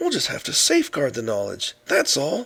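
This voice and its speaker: A man performs a cartoonish character voice. He keeps to a moderate pace. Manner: eager, enthusiastic.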